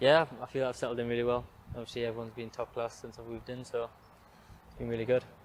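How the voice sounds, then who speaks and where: A man with a Geordie accent talks very fast at a medium pitch, monotone and flat, with big swings in loudness. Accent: Geordie, mistaken for Australian. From northern England, Newcastle area. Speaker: professional footballer. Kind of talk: interview. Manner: brief, reserved answers.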